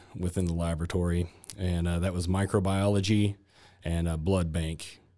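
On a very clean recording with a silent background, a man with a Texan accent speaks fairly slowly in a very deep, low pitch, his tone dark and mellow and his intonation monotone and flat. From Texas (Granbury). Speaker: hospital laboratory manager. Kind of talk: interview. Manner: halting, many fillers.

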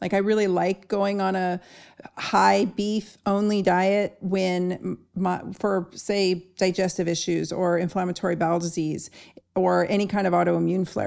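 An unremarkable speaking voice from a woman, medium in pitch, with fairly even intonation. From Southern California. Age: 50s. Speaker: podcast host, doctor. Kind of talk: interview conversation.

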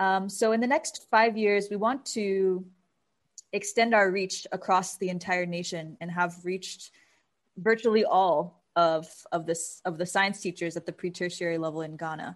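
A plain, everyday voice from a woman with an American accent, at medium pitch with ordinary pitch variation and a moderate pace, against a quiet background. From US. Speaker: nonprofit founder. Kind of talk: interview.

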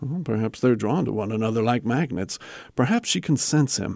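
Lively intonation and a moderate pace from a man with an unremarkable speaking voice. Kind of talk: audio drama performance, scripted dramatic dialogue.

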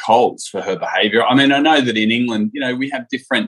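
A man speaks with an Australian accent at medium pitch and a fairly quick pace. The sound is dry and close, with no echo. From Sydney, Australia. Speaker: reality TV contestant. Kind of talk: interview. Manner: halting, with fillers.

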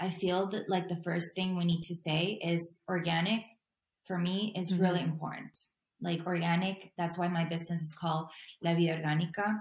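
Somewhat breathy and fairly low in pitch, a woman speaks at a fairly quick pace in monotone, flat intonation. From Latin America. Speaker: intuitive life and health coach. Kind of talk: casual chat.

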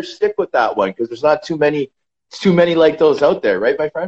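The speech comes at a very fast pace with a Canadian accent. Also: man. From Canada. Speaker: retired professional hockey player. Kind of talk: casual interview.

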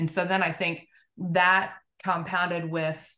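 A woman with an American accent, a fairly low pitch and a bright, sharp tone, at a fairly slow pace with fairly even intonation. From Oklahoma, US. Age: 40s. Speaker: physical therapist. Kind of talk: casual interview.

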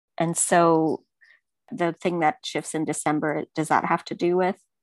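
An ordinary speaking voice comes at a fairly slow pace, dry and close with no echo. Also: woman. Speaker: client getting astrology reading. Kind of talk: casual conversation, personal reading session.

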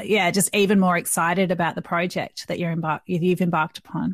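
Against a quiet background, a woman with an Australian accent speaks at medium pitch, the sound dry and close with no echo. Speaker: podcast host. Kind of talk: interview.

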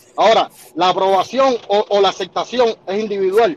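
Noticeable background noise behind a voice with ordinary pitch variation. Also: man. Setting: phone call.

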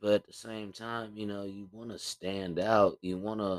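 A man with a fairly low voice speaks at a moderate pace in a very clean recording with a silent background, the sound dry and close with no echo. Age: 30s. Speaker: podcast host. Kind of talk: casual solo podcast monologue. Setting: home recording with USB microphone. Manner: rambling, talkative, casual.

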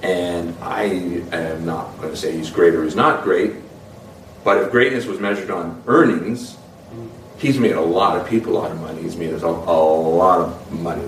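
Against noticeable background noise and audible room echo, a man speaks at a moderate pace with a very deep, low pitch. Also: ordinary pitch variation. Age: 40s. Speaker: actor. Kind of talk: interview.

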